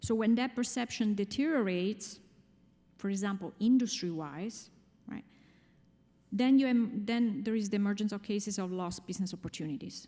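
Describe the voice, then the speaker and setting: With an Italian accent, a woman speaks at a moderate pace and medium pitch in a somewhat breathy voice with a dark, mellow tone, ordinary pitch variation and long, frequent pauses, in a very clean recording with a silent background. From Italy. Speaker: finance executive, conference speaker. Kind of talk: conference talk.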